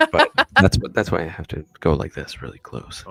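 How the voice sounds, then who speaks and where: A man whispers in a put-on character voice, breathy and fairly quick. His loudness swings widely. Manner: whispering, very close to the mic.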